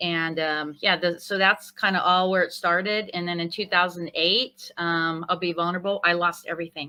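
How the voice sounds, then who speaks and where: With hardly any pauses, a woman holds a moderate pace in a flat monotone, her fairly low voice bright and sharp on a very clean recording with a silent background. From Northern California. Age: 50s. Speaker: chef turned concierge business owner. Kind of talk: interview.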